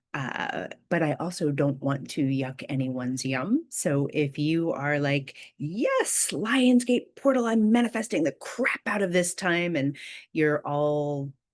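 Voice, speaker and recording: Very slow and soft-spoken, a woman talks with a very deep, low pitch and very wide pitch swings. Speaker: spiritual video host. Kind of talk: casual spiritual talk. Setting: at home, early morning.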